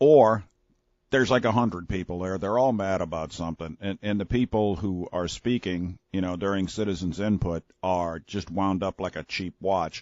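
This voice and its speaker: A man with a very deep, low pitch speaks at a moderate pace with ordinary pitch variation. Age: 60s. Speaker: radio talk show host. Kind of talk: talk radio monologue. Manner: animated.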